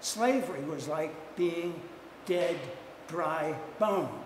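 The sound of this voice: A man talks slowly at a fairly high pitch with ordinary pitch variation. Audible room echo surrounds his voice.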